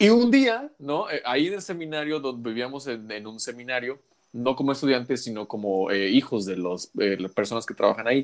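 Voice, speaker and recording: An unremarkable speaking voice moves at a moderate pace. It has lively intonation and big swings in loudness. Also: man, medium pitch for a man. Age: 30s. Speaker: podcast host. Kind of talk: casual chat.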